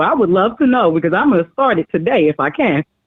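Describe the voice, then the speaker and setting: A woman's medium-pitched, normal speaking voice, fairly quick, with lively intonation. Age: 30s. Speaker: caller. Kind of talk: phone-in call.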